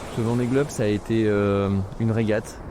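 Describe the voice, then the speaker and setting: Over noticeable background noise, a man speaks in a medium pitch with fairly even intonation. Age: 30s. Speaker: sailor. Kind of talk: interview testimony.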